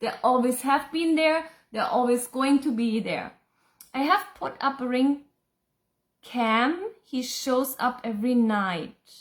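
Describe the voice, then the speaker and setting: In a German accent, a woman speaks at a very slow pace with a high pitch. Her pitch variation is ordinary. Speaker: psychic and spiritual teacher. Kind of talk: live Q&A reading viewer comments. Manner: casual, chatty.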